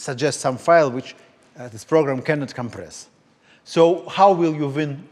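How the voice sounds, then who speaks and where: A man with a Russian accent, fairly high in pitch, at a moderate pace. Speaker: lecturer. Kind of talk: lecture. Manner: halting.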